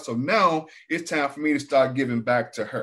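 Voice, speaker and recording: A man speaks in a normal speaking voice at a moderate pace, fairly high in pitch with ordinary pitch variation, on a very clean recording with a silent background. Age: 60s. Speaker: abuse survivor. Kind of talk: testimony.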